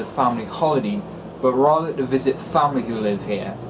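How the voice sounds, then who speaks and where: There is noticeable background noise as a man speaks in a Geordie accent. His pitch is medium, his intonation lively, and his pace moderate. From North East England. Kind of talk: casual vlog narration to camera.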